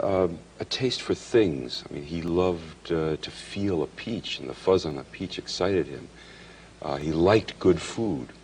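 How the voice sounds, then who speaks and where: Over noticeable background noise, a man with a very deep, low voice speaks at a fairly slow pace, showing ordinary pitch variation and big swings in loudness. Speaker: writer. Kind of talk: interview answer. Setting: studio. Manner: thoughtful pauses.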